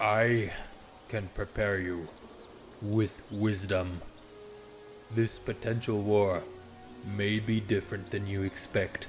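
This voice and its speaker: A man's put-on character voice, fairly low and fairly slow, broken by long, frequent pauses over clear background noise. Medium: audio drama. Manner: solemn, grand, archaic phrasing.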